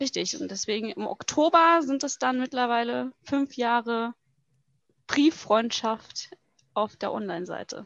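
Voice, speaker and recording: The voice has ordinary pitch variation and a fairly slow pace, with a dry, close sound and no echo. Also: woman, high pitch for a woman. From Hesse, Germany (Butzbach). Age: 20s. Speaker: bikini athlete and strength athlete. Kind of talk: casual interview chat.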